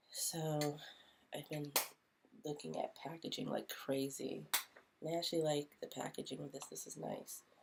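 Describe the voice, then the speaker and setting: A put-on character voice mumbles at a low-to-middle pitch and a moderate pace. Long pauses come often. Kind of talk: casual video talk. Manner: mumbling.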